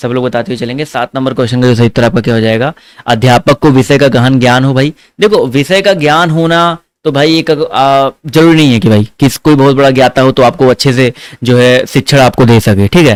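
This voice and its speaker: Recorded with a dry, close sound and no echo, a man talks in a normal speaking voice at a medium pitch with ordinary pitch variation. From Awadhi-speaking region of Uttar Pradesh, India. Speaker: online exam-prep teacher. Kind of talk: online exam-prep class. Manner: fast, conversational.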